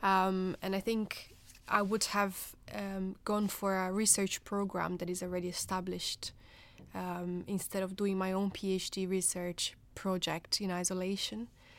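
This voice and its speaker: A woman with a Portuguese accent speaks at a fairly slow pace in a flat monotone at a medium pitch, on a very clean recording with a silent background. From Brazil. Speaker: nurse turned research fellow. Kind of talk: panel discussion.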